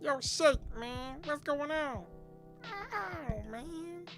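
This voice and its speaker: Clear music plays behind a high, put-on character voice that drags at a very slow pace with very wide pitch swings. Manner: impression of a cartoon character.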